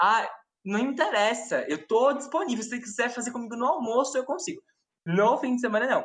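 A woman's voice with vocal fry. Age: 20s. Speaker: law student. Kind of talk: casual chat.

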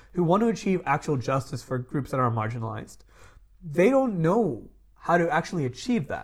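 At a fairly quick pace, a man with a fairly high pitch speaks with very wide pitch swings. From Dubai. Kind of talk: casual political discussion.

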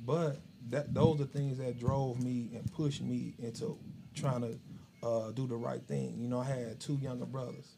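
This somewhat breathy voice has a dark, mellow tone and fairly even intonation. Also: man, medium pitch for a man, moderate pace. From Chicago. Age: 40s. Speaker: barber and shop owner. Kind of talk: interview.

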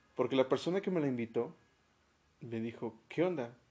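The man's delivery is fairly quick. He uses lively intonation. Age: 30s. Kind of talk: casual chat.

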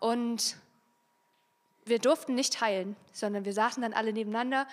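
A woman talks at a moderate pace in a fairly high voice. Her intonation is monotone and flat. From Saxony, Germany (Freiberg). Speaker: youth social worker giving a talk. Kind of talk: youth church talk. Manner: casual, with many fillers.

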